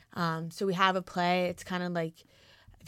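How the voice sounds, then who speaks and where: A woman speaks with a New Jersey accent in a dry, close sound with no echo. Music plays in the background. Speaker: college lacrosse player and club vice president. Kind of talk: casual chat.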